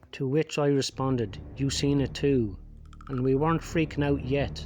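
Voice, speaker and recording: Behind the man's moderately paced speech, music can be heard in the background. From Ireland. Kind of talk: horror story narration. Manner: speech impediment.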